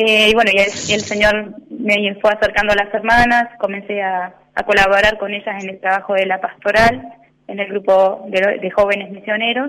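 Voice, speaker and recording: A woman with an Argentine accent, monotone and flat in intonation. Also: medium pitch for a woman, moderate pace. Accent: Rioplatense Argentine Spanish. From Argentina, Punta Alta. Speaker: religious sister. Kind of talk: radio interview. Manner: hesitant, many fillers.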